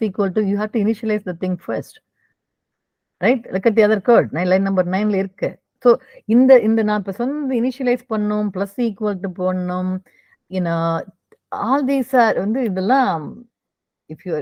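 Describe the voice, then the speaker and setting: With an ordinary speaking voice, a woman speaks at a fairly high pitch with ordinary pitch variation. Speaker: programming teacher. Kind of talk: online coding class review.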